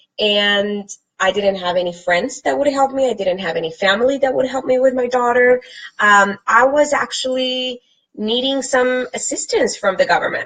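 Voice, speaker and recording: A woman talks at a moderate pace with a Spanish accent. Her high voice has lively intonation. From Colombia. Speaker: fitness and lifestyle vlogger. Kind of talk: live stream talk to viewers. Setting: live from computer.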